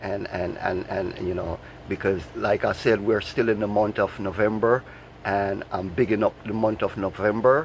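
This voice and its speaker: This man has a Jamaican accent and a fairly low pitch, speaking at a fairly slow pace. His intonation stays fairly even, with noticeable background noise behind him. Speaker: vlogger. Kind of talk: casual monologue vlog. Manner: halting, many repetitions.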